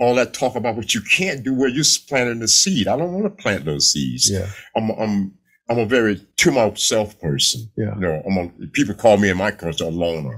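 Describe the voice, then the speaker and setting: Over a quiet background, a man talks at a fairly quick pace with very wide pitch swings. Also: fairly low pitch for a man. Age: 70s. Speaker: veteran bodybuilder. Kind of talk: casual interview. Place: studio. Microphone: studio mic.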